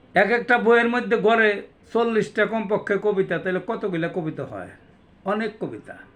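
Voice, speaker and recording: High-pitched male speech, its intonation fairly even. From Bangladesh, Manikganj. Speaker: poet and homeopathic doctor. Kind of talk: self-introduction monologue.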